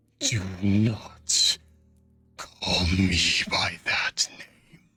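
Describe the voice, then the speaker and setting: A man performs a put-on character voice at a fairly low pitch. Music plays in the background. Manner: menacing.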